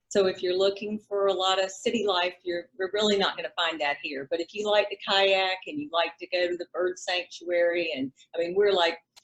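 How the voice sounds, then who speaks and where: A woman with a South Carolina accent, medium pitch, ordinary pitch variation, fairly quick pace and hardly any pauses. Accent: Southern, South Carolina. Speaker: realtor. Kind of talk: interview.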